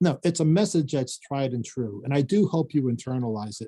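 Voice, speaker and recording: A somewhat breathy man at a fairly high pitch, with lively intonation, a moderate pace, and a dry, close sound with no echo. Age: 60s. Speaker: professor and finance author. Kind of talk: video call Q&A talk. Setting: video call. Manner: halting, many fillers.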